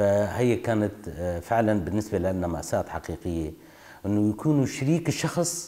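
Speaking at a fairly slow pace with a Kurdish accent, this voice has a dark, mellow tone and very wide pitch swings. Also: man, fairly low pitch for a man. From northeastern Syria, Qamishli area (Kurdish village); Syria. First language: Kurdish (speaking Arabic). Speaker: oral history interviewee; interviewee. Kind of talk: testimony. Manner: halting. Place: home room.

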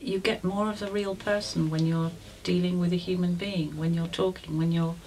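A woman's somewhat breathy voice, fairly low in pitch, at a moderate pace with fairly even intonation. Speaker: storyteller. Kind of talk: interview answer.

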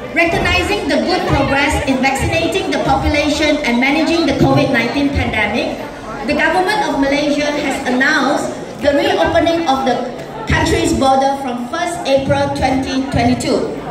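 Crowd noise fills the background with audible room echo. A woman talks at a moderate pace with ordinary pitch variation. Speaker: speaker. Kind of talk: formal speech. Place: hall.

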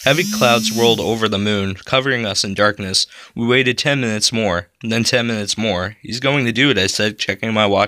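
The passage is read aloud plainly, its intonation fairly even throughout.

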